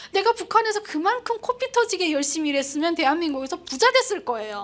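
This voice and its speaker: A woman's extremely high, animated voice, very fast, with very wide pitch swings. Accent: North Korean. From North Korea, Pyongyang. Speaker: North Korean defector broadcaster. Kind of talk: public talk.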